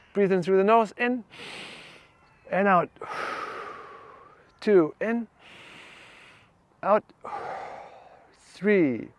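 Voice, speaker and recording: A high-pitched man's voice with a German accent, very slow pace, ordinary pitch variation and a dry, close sound with no echo. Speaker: fascia trainer. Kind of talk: guided exercise class. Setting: class with one participant. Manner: halting.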